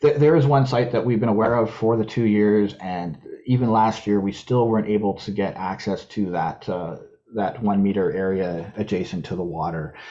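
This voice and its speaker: A man with a Canadian accent, fairly low pitch and ordinary pitch variation. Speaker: invasive species contractor, presenter. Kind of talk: webinar presentation. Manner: fast; halting, frequent repetitions.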